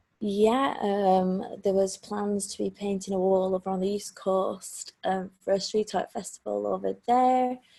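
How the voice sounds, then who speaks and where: In a Lancashire accent, a woman with a dark, mellow tone and medium pitch talks at a fairly slow pace, with fairly even intonation and hardly any pauses. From Lancashire, England. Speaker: street artist. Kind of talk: interview answer.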